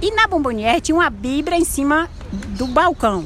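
A woman's voice swings very widely in pitch, with noticeable background noise behind it. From Bahia, Brazil (Cruz das Almas). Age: 60s. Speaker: street artisan and vendor. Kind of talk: interview.

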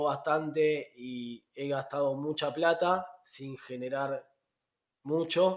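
A man speaks at a very slow pace with a fairly high pitch. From Argentina. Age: 30s. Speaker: travel podcaster. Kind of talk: casual monologue.

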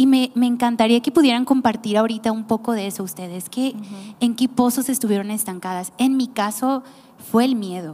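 A woman with an ordinary speaking voice talks at a fairly quick pace, her fairly high pitch showing ordinary variation. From Mexico, Nayarit. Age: 30s. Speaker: podcast host, church team member. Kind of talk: casual chat.

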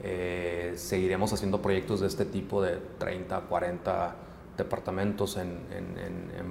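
Audible room echo and noticeable background noise surround a man with a very deep, low voice. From Mexico, Hermosillo (Sonora). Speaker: project management firm founder. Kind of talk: interview.

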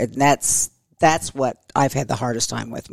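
An American woman speaks at a fairly quick pace in a very deep, low voice with vocal fry and ordinary pitch variation. The sound is dry and close, with no echo. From Oklahoma, Tulsa. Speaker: schoolteacher. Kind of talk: interview conversation.

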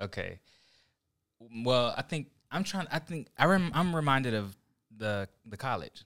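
Over a very clean recording with a silent background, a man with an American accent speaks fairly slowly at medium pitch, with very wide pitch swings and long, frequent pauses. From Oklahoma. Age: 30s. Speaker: graphic designer and church young adult leader. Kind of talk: casual chat.

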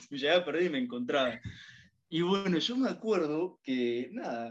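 His voice sits fairly high, and this man's pitch swings very widely. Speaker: university student. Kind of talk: casual chat.

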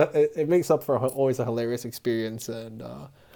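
A man's very fast delivery with a dark, mellow tone and ordinary pitch variation, on a very clean recording over a silent background. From Honduras. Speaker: podcast guest. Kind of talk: casual chat.

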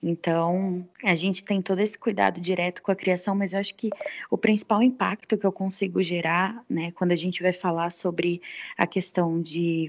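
In a dry, close recording with no echo and a quiet background, a woman speaks at a moderate pace in an ordinary speaking voice, with medium pitch and fairly even intonation. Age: 20s. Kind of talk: casual chat.

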